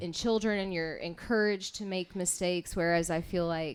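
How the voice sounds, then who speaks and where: This woman has a normal speaking voice, fairly low in pitch, with fairly even intonation. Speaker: radio show host. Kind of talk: live radio show host interview. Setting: live venue, coffee house.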